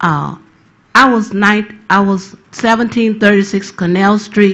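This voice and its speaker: Her pitch sits in the medium range. This woman talks very slowly. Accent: American. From New Orleans, Louisiana. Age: 60s. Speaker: hurricane survivor witness. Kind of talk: testimony. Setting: tribunal hearing.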